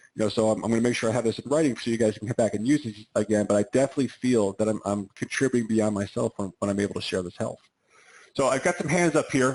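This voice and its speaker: Talking at a very fast pace, the man varies his pitch an ordinary amount. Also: quiet background. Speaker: chiropractor giving wellness talk. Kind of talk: webinar talk on a group call. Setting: online group call. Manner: animated.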